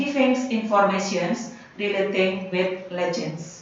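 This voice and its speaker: With a Javanese accent and lively intonation, a woman talks at a fairly slow pace amid noticeable background noise and audible room echo. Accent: Indonesian (Javanese) English. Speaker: English teacher. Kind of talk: lesson for students.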